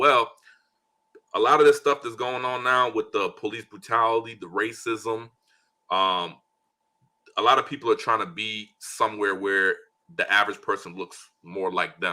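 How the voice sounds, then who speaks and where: Pausing long and often, a man speaks at a moderate pace and medium pitch in an animated, bright, sharp tone with ordinary pitch variation. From Liberia, moved to US at nine. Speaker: business owner and investor. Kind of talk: interview. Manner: casual, animated.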